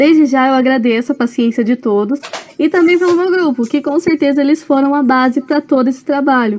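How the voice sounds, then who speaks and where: A woman with a high pitch speaks at a fairly quick pace with very even loudness and ordinary pitch variation over noticeable background noise. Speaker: student presenting a seminar. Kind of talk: recorded seminar presentation.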